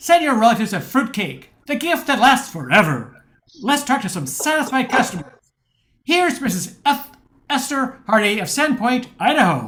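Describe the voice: A man puts on a character voice with an extremely high pitch and big pitch swings. His tone is fairly bright and his pace moderate.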